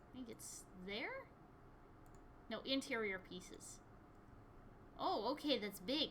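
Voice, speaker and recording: Speaking high in pitch with an American accent, a woman talks at a fairly slow pace with long, frequent pauses and big swings in loudness over noticeable background noise. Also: lively intonation. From US Midwest, Michigan. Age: 20s. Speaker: gaming streamer. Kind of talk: casual gameplay chat.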